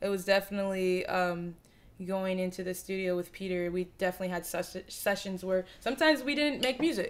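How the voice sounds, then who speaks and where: Speaking fairly quickly, a woman lets her pitch move in an ordinary way. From Southwest Florida, Lehigh Acres; Florida. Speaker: rap artist; interview guest. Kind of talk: casual interview chat. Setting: living room. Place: home room. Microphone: studio mic.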